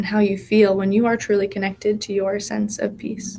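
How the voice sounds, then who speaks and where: Her tone is soothing and calm, and this woman's voice comes across as somewhat breathy. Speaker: hypnotherapist and guided meditation leader. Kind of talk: guided hypnosis meditation. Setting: live session at a wellness space. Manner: slow, soothing, calm.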